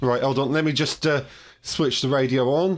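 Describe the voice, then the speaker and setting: On a very clean recording with a silent background, a man with a British accent speaks at a fairly high pitch and moderate pace with fairly even intonation. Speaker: ham radio operator and video host. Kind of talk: live stream chat. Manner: hesitant, many fillers.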